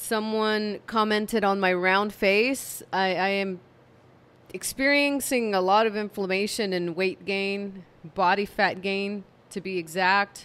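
A woman talks at a medium pitch and slow pace with fairly even intonation. Her tone is tired yet fairly bright.

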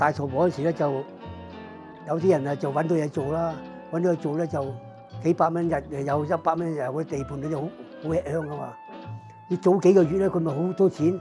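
Clear music plays in the background. Over it, a man talks in a fairly high voice with fairly even intonation. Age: 80s+. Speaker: photography studio owner. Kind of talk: interview answer. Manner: casual, conversational. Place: shop.

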